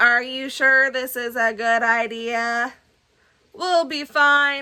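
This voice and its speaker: A woman puts on a high-pitched character voice and speaks at a very slow pace. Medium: read story. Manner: hushed, anxious.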